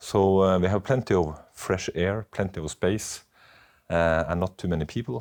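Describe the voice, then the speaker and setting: With a Southern Norwegian accent, a man speaks fairly slowly with ordinary pitch variation on a very clean recording with a silent background. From Norway, Oslo. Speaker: doctor. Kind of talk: casual chat. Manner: halting.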